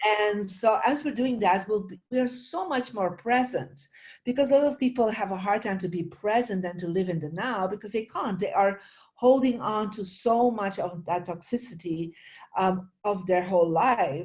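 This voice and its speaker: A woman at medium pitch, somewhat breathy, with lively intonation and a moderate pace. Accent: Flemish. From Belgium, Flemish region. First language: Dutch. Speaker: spiritual teacher and feng shui expert. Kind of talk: interview.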